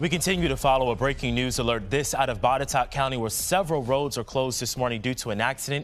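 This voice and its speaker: A man rushes along at a very fast pace, his medium pitch showing ordinary pitch variation, with noticeable background noise behind him. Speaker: TV news anchor. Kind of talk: TV news read.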